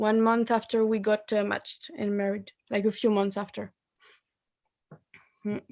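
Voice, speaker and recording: With a French accent and a fairly high pitch, a woman speaks at a moderate pace in a monotone, flat intonation, leaving long, frequent pauses. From France. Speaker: married participant sharing experience. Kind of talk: testimony. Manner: halting.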